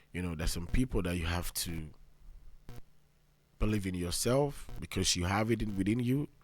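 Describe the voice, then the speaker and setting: Over a very clean recording with a silent background, a man with a Nigerian accent and fairly low pitch talks with ordinary pitch variation and long, frequent pauses. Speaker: podcast host. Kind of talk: motivational monologue. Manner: fast.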